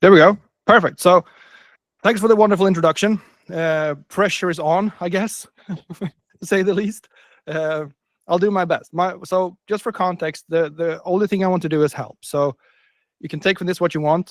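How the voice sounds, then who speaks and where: A high-pitched man's voice with a Swedish accent, fairly even intonation, a moderate pace and long, frequent pauses, in a dry, close sound with no echo. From northern Sweden. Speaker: business coach. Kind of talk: webinar presentation.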